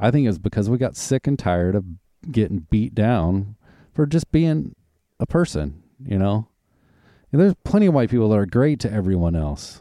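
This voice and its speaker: A man with a Southern US accent, fairly low in pitch and dark, mellow in tone, with very wide pitch swings, a moderate pace, and long, frequent pauses, in a dry, close sound with no echo on a very clean recording with a silent background. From US South, Arkansas and Oklahoma. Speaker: podcast host. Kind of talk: casual chat.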